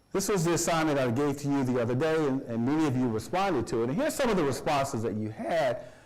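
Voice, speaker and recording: A man with a fairly high pitch and lively intonation races along at a very fast pace, with hardly any pauses, very even loudness, and audible room echo. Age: 60s. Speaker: college professor. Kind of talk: lecture. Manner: animated; halting.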